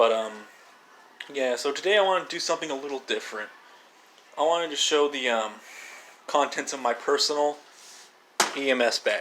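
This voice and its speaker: Over noticeable background noise, a man speaks at a fairly quick pace with a fairly high pitch and ordinary pitch variation. He takes long, frequent pauses. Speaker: emergency medical technician. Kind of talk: show-and-tell video. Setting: kitchen at home. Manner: halting.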